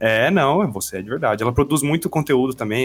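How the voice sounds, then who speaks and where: A man rattles along very fast, his intonation lively. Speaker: podcast host, teacher. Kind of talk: casual chat.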